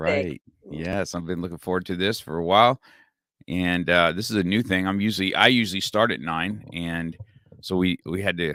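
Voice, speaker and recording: With a very deep, low pitch yet a bright, sharp tone, a man talks at a moderate pace with ordinary pitch variation. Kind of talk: podcast host talk.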